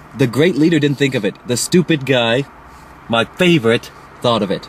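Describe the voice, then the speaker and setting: A man's voice sits at a medium pitch and rises and falls in a normal way, with clear background noise behind it. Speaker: online video reviewer. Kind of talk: casual chat. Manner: fast; animated.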